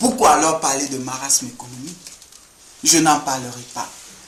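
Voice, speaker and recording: A man speaks at a fairly slow pace with lively intonation. Noticeable background noise can be heard. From Ivory Coast. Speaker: sociology student. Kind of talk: address to camera. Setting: indoor room. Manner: formal.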